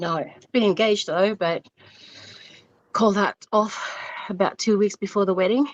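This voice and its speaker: At a moderate pace with long, frequent pauses, a woman with an Australian accent talks at a medium pitch with ordinary pitch variation, in a dry, close sound with no echo. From Vanuatu. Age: 40s. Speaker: caller on a dating show. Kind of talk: call-in interview. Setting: phone call. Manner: halting.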